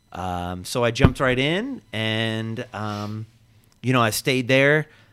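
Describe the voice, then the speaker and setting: At a medium pitch with ordinary variation, a man talks in an unremarkable speaking voice. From Pennsylvania (military family, moved around). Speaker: parks and recreation director. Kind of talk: interview.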